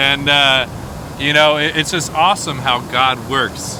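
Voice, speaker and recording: There is noticeable background noise behind a man whose voice sits at a fairly high pitch. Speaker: video host. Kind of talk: casual talk to camera. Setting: outdoors.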